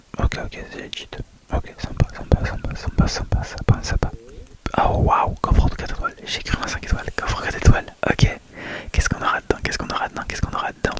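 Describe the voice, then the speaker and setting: Whispering at a very fast pace with big swings in loudness, a man is heard over noticeable background noise. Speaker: ASMR gaming youtuber. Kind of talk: game commentary voice-over. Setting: recorded on bed with a microphone. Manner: casual, spoken rather than whispered.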